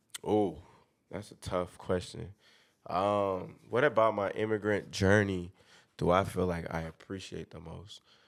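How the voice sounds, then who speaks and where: In a very clean recording with a silent background, a man with a fairly low pitch keeps his intonation fairly even while his loudness swings a lot. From Liberia, moved to Atlanta in sixth grade. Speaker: podcast host. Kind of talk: casual chat.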